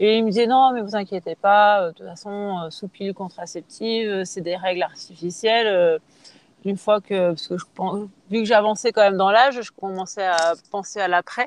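The voice is an ordinary speaking voice at a moderate pace, with fairly even intonation. Loudness swings widely, and the sound is dry and close with no echo. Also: woman, medium pitch for a woman. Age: 30s. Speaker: triathlete. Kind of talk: casual interview.

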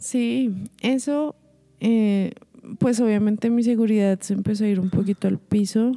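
A woman speaks fairly slowly with a fairly high, dark and mellow voice. Her loudness is very even and her intonation fairly even. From Colombia. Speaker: singer and vocal coach. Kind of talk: interview.

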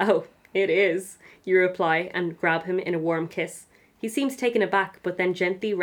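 Here is an unforced reading voice. Its pitch shifts by an ordinary amount.

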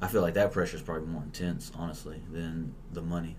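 A man's very deep, low voice at a fairly quick pace, with audible room echo. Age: 20s. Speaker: stand-up comedian. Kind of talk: casual chat.

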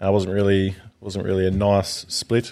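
This recording is very clean, with a silent background. A man speaks at a fairly low pitch with an Australian accent. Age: 20s. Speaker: firefighter. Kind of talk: interview.

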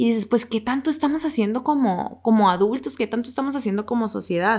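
Heard in a very clean recording against a silent background, a woman uses an ordinary speaking voice with ordinary pitch variation. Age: 20s. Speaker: podcast co-host. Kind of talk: casual chat about a book.

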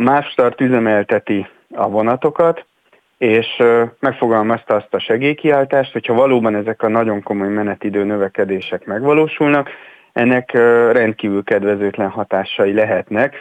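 A man with a plain, everyday voice talks at a moderate pace and medium pitch, his loudness very even and his pitch varying in an ordinary way, recorded dry and close with no echo. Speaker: mobility expert. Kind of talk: radio interview.

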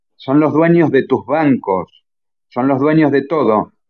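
This is a man speaking. His pitch is fairly high. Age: 40s. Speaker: medical doctor, geneticist. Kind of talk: lecture-style talk in a live audio chat room. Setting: online audio chat room.

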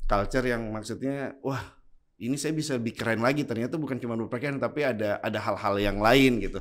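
The man talks very fast at a medium pitch, and his pitch varies in an ordinary way. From Indonesia, Bone (South Sulawesi), Bugis. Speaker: clothing store founder and entrepreneur. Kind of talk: casual interview.

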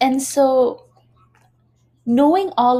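With an ordinary speaking voice, a woman speaks at a fairly slow pace with ordinary pitch variation. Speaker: podcast host. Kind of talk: live stream interview. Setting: Instagram live video stream.

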